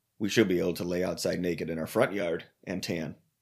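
A man's ordinary speaking voice at a fairly low pitch and a fairly quick pace, on a very clean recording with a silent background. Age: 30s. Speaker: podcast co-host. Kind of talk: casual chat.

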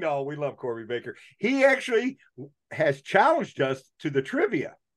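The voice makes very wide pitch swings. Its pace is moderate. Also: man. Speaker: podcast host. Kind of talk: casual chat.

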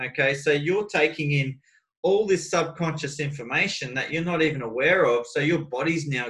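Moderate pace and ordinary pitch variation from a man whose voice sits fairly high. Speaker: life coach. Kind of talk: coaching conversation. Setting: video call. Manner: animated.

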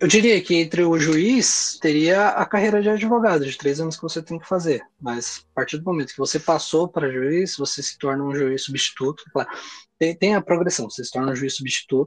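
This man has an unremarkable speaking voice at a fairly high pitch. He talks at a moderate pace with ordinary pitch variation. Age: 20s. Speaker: lawyer. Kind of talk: interview.

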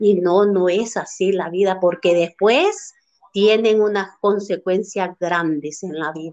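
A woman speaks at a very slow pace. Her medium pitch holds fairly even intonation. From Honduras, Santa Bárbara village. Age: 50s. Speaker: mother of the host. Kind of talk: casual discussion.

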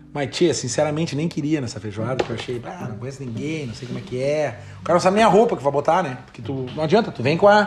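Over noticeable background noise, a man rattles along at a very fast pace with hardly any pauses, his fairly high voice swinging very widely in pitch. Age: 40s. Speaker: podcast host. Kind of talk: casual chat.

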